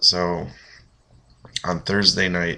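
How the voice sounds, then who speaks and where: Speaking very slowly, a man with a very deep, low pitch has a bright, sharp tone, vocal fry and ordinary pitch variation. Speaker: vlogger. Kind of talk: casual webcam vlog. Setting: apartment, late night. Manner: keeping voice down.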